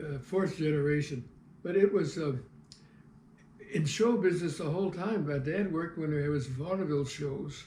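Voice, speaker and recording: A somewhat breathy man with a fairly high pitch, ordinary pitch variation and an American accent. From US Midwest, St. Louis (south side). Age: 80s+. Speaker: retired TV cameraman and local historian. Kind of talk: life-story interview. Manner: halting, with frequent fillers.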